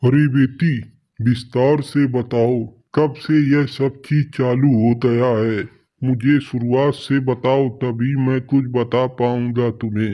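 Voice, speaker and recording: A man puts on a cartoonish character voice at medium pitch with monotone, flat intonation. His pace is fairly slow and his loudness stays very even. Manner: paternal, authoritative.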